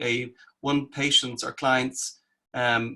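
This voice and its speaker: A man speaks in a bright, sharp tone. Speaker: clinical psychologist and therapist trainer. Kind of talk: online presentation.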